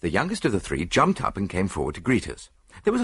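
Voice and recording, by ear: A natural voice reading aloud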